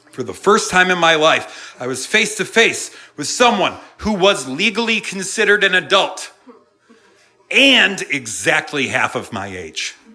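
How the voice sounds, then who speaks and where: Music plays in the background as a man speaks in a raised, projected, high-pitched voice. His tone is animated, his intonation lively and his pace fairly slow. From New England. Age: 30s. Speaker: comedian. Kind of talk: stand-up. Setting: stage with audience.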